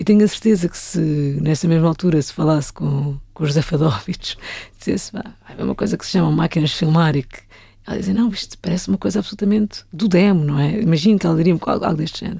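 A woman's dark, mellow, somewhat breathy voice, fairly low in pitch, with ordinary pitch variation and a very fast pace. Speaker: film director. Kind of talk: casual interview chat.

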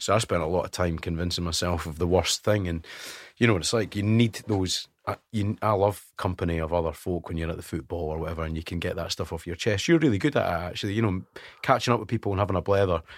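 On a very clean recording with a silent background, a man with a Scottish accent and a very deep, low pitch talks at a very fast pace with ordinary pitch variation. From Scotland (West Lothian). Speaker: radio presenter. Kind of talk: casual chat. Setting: studio.

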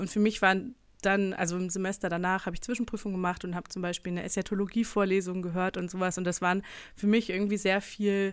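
On a very clean recording with a silent background, a woman speaks at a very fast pace in a medium pitch, her intonation monotone and flat. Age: 20s. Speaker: church history researcher. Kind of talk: casual chat. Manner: hesitant, many fillers.

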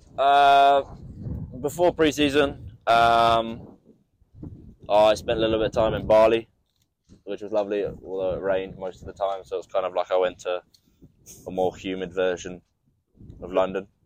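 A man's fairly low voice at a moderate pace, ordinary pitch variation and long, frequent pauses throughout. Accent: New Zealand. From New Zealand, Nelson. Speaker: amateur rugby player. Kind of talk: interview.

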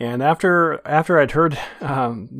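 Recorded very cleanly with a silent background, a plain, everyday voice speaks at a fairly slow pace with ordinary pitch variation. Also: man. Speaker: podcast host. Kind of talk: casual chat.

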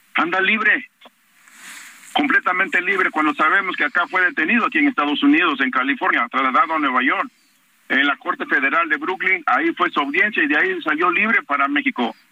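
The speech moves at a fairly quick pace with very even loudness and very wide pitch swings. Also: man, high pitch for a man. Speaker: parent of a disappeared student, activist. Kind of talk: phone interview. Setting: phone call. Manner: halting.

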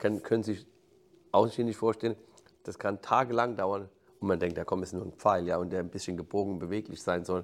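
A man's fairly low, fairly even voice at a fairly quick pace, broken by long, frequent pauses. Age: 50s. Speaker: football coach. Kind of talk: interview. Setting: stadium backstage room. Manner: halting, repeats words.

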